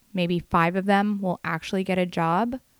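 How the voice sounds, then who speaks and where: At a fairly slow pace, a woman with a plain, everyday voice speaks at a medium pitch, the recording very clean with a silent background and a dry, close sound with no echo. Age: 30s. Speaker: hairstylist podcaster. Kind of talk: solo podcast monologue. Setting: bedroom.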